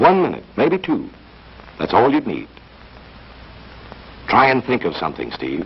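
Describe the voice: Putting on a character voice, a man speaks at a fairly slow pace in a fairly low pitch with very wide pitch swings.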